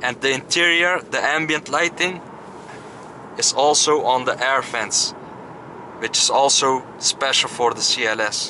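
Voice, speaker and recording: The pace is fairly slow, with ordinary pitch variation. Noticeable background noise can be heard. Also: man. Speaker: car reviewer driving. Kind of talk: commentary. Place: car. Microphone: phone near.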